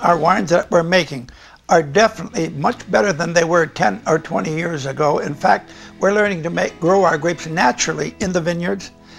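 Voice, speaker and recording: Over faint background music, a man with a high-pitched voice talks at a very fast pace with lively intonation. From United States. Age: 80s+. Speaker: winemaker. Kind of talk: interview answer. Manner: vigorous. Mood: warm, relaxed. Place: home room. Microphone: lapel.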